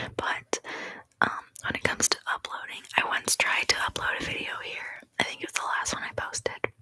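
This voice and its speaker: Whispering at a fairly quick pace, a woman sounds dry and close with no echo, amid noticeable background noise. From Canada. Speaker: ASMR youtuber. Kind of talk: casual live stream chat. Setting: live stream from home. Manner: soft-spoken.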